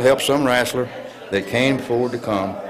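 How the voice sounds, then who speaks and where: A man speaks at a fairly quick pace with an American accent. Noticeable background noise and audible room echo are present. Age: 70s. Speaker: retired wrestler. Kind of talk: interview. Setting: on location at event. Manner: halting.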